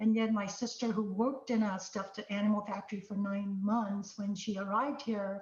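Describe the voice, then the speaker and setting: A woman with a non-native accent, fairly high pitch and a somewhat breathy quality at a moderate pace. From immigrant to the US at fourteen. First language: not English. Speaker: tech executive. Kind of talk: panel conversation.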